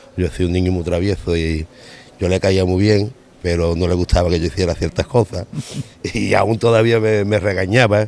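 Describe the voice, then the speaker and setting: At a moderate pace, a man with a very deep, low pitch speaks with fairly even intonation in a dry sound with no echo. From Andalusia, Spain. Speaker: football supporters' club president. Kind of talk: on-location interview. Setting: outdoors at a football stadium gate. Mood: warm, nostalgic, smiling. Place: street. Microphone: handheld.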